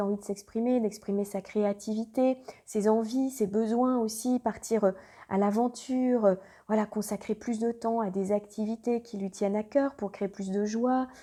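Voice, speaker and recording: A woman with a fairly high pitch and a dark, mellow tone, at a fairly slow pace with fairly even intonation. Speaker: astrologer. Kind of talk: astrology reading monologue. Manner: halting, many hesitations.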